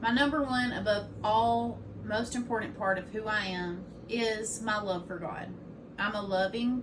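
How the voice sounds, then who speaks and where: A woman speaks with audible room echo. There is noticeable background noise. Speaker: student giving a class speech. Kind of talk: informative speech. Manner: loud.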